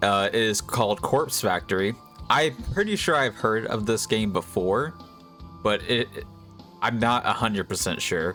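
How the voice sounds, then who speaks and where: Music plays behind a man's voice. He talks at a moderate pace, his pitch varying in an ordinary way. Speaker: VTuber. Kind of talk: casual talk to camera, video intro.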